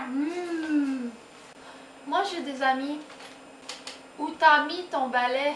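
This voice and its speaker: A woman's high voice in a playful tone, very slow and broken by long, frequent pauses, with fairly even intonation and noticeable background noise. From Quebec. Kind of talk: casual talk to camera. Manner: spontaneous, playful.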